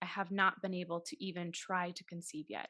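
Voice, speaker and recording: A woman speaks in an American accent at a medium pitch. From Massachusetts, Taunton south of Boston. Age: 30s. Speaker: actress and podcast host. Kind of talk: interview.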